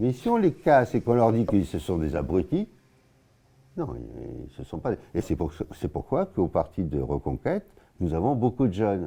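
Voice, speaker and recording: With a dark, mellow tone and vocal fry, a man speaks at a moderate pace in a fairly low pitch, using very wide pitch swings and long, frequent pauses. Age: 80s+. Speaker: local party spokesman. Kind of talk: interview. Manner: halting.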